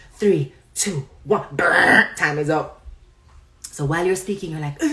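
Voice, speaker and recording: A woman with a fairly low pitch speaks at a moderate pace with ordinary pitch variation. Noticeable background noise runs beneath her. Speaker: online commentator. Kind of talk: live stream chat.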